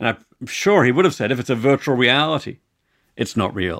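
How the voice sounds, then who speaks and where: Moving at a fairly quick pace, a man of medium pitch talks in an unremarkable speaking voice. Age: 50s. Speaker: philosopher. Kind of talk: interview conversation.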